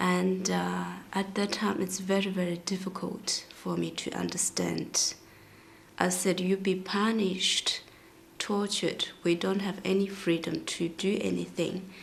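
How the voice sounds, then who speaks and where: The speaker talks at a fairly slow pace with a Tibetan accent. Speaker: singer. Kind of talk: interview testimony.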